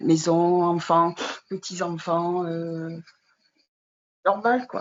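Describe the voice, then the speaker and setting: Very slow speech in a fairly low-pitched female voice. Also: fairly even intonation. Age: 60s. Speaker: widow and former caregiver. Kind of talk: testimony. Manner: halting, many hesitations.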